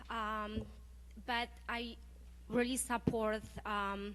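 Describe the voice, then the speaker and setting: The voice belongs to a woman. There is noticeable background noise. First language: not English. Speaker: parent, public commenter. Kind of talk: unprepared public comment. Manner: halting, many fillers.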